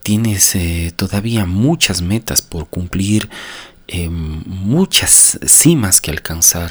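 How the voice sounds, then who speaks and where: A man with a very deep, low pitch speaks very slowly and somewhat breathily, with ordinary pitch variation. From Ecuador, Cuenca. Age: 40s. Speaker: podcaster on personal growth. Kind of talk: motivational monologue. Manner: unscripted, with frequent hesitations.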